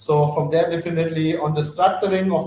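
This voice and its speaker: Noticeable background noise accompanies the speech. A man talks at a fairly quick pace in a monotone, flat intonation. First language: not English. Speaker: company CEO and founder. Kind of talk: live webinar Q&A. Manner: fast.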